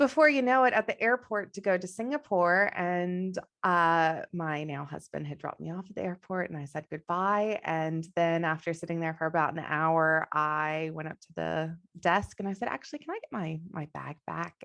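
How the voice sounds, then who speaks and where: In a Texan accent, a woman with a fairly low pitch talks at a moderate pace with hardly any pauses, ordinary pitch variation, and big swings in loudness, the sound dry and close with no echo against a quiet background. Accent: non-Australian, Texan. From Texas. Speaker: business coach. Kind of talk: interview.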